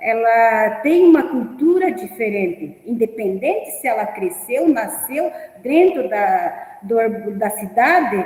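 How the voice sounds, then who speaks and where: Over noticeable background noise, a speaker with a non-native accent makes very wide pitch swings. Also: woman. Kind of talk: teacher training talk. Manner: halting.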